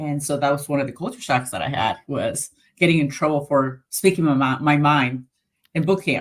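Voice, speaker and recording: Moderate pace and fairly even intonation, in a Spanish accent. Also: woman. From Colombia. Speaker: navy veteran. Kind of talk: interview.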